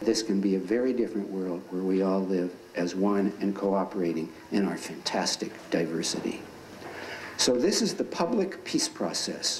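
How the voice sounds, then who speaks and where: A man speaks at a moderate pace with fairly even intonation and an American accent. The room echo is audible and background noise is noticeable. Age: 60s. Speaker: dialogue group member. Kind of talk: classroom talk. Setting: high school classroom.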